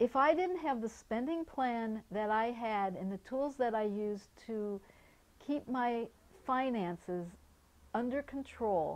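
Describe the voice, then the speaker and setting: Lively intonation marks a woman's speech at a fairly slow pace. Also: fairly high pitch for a woman. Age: 60s. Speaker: activities therapist for older adults. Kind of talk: personal testimony. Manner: halting, with repeated words and restarts.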